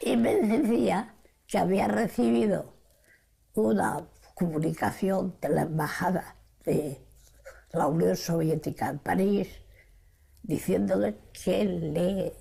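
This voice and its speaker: A woman speaks very slowly, in a dark, mellow, fairly low voice with vocal fry and long, frequent pauses. Her pitch swings very widely while her loudness stays very even. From Spain. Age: 80s+. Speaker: Spanish Civil War exile and Stalingrad survivor. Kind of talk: interview answer.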